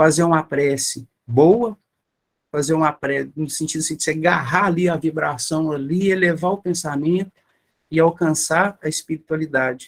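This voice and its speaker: An unremarkable speaking voice, a man's, fairly high in pitch, with fairly even intonation and a moderate pace. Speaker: spiritist lecturer. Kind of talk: lecture.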